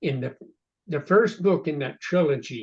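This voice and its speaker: Fairly high pitch from a man, with ordinary rise and fall. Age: 80s. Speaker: novelist. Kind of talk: casual chat. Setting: video call.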